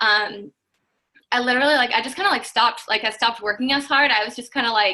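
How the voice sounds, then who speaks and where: Talking at a very fast pace, a woman has a bright, sharp tone, fairly high pitch and ordinary pitch variation. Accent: American. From Washington State. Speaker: network marketing distributor. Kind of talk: testimony. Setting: video call.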